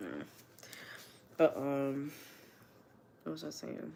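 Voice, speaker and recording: A woman talks with vocal fry. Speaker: livestreamer and student. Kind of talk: casual livestream chat. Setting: livestream at home on couch.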